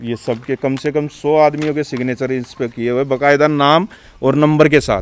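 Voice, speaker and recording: With an ordinary speaking voice, a man talks at a moderate pace and a fairly high pitch, his intonation fairly even. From Delhi, India (village). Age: 40s. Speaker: temple trustee, villager. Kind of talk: interview. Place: open country. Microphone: handheld.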